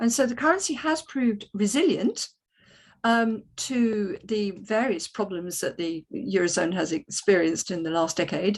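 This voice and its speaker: Speaking with a British accent, a woman uses a medium-pitched voice at a moderate pace. Her intonation is lively. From Britain. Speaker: economics panel speaker. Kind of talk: panel talk. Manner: hesitant, many ums.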